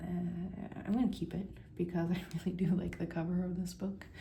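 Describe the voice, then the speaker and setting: A soft-spoken woman at a fairly low pitch and fairly slow pace. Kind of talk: casual book review to camera.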